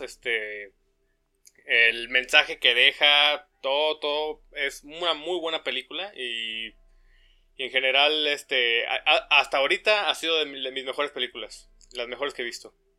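Over music in the background, a man talks at a fairly slow pace in a fairly high pitch, with ordinary pitch variation. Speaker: podcast co-host, engineering student. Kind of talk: casual chat. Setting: home recording.

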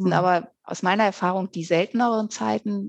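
A woman speaks at a moderate pace. The sound is dry and close with no echo, against a quiet background. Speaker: author. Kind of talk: casual chat.

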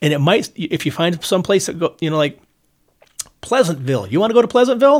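Talking at a very fast pace, a man with a high-pitched voice swings very widely in pitch. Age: old. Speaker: podcast co-host. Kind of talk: casual chat.

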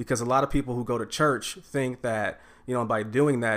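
A man with a normal speaking voice talks at a medium pitch and a fairly quick pace. The recording is very clean, with a silent background. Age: 30s. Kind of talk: casual chat.

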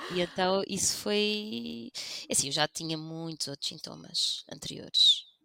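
Speaking at a fairly slow pace, a woman is heard in a dry, close sound with no echo. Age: 40s. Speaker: lawyer on sick leave with burnout. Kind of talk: personal testimony in casual interview.

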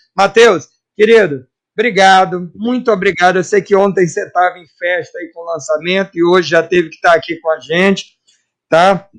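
A man speaks in a high voice at a moderate pace. His intonation is fairly even. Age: 40s. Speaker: radio host. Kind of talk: interview.

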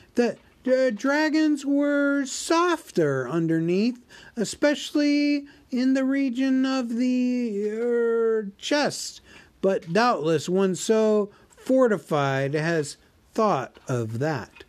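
A man puts on a squeaky character voice at an extremely high pitch, with very wide pitch swings. He speaks at a very slow pace. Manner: frightened.

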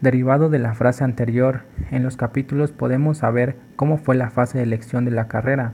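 A man speaks at medium pitch in a somewhat breathy voice. His intonation is monotone and flat. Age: 20s. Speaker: physiotherapy intern. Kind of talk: scripted podcast introduction.

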